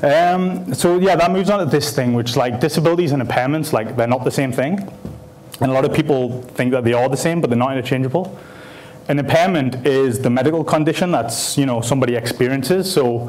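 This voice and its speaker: A man talks at a very fast pace, with ordinary pitch variation and very even loudness. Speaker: speaker. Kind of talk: conference talk. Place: hall.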